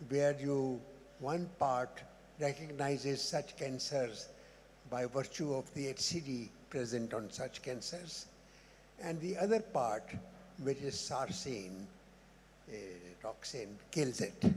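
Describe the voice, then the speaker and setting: Very slow, somewhat breathy speech with lively intonation and long, frequent pauses. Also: man, fairly high pitch for a man. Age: 80s+. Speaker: immunologist, audience member. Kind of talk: audience question at conference. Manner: halting.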